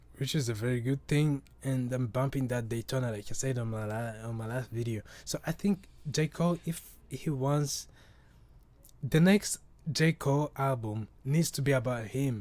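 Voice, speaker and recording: The recording is very clean with a silent background. A man speaks at a moderate pace in a medium pitch with ordinary pitch variation. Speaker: podcast host. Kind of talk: casual chat. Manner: halting, many repetitions and restarts; casual, profane.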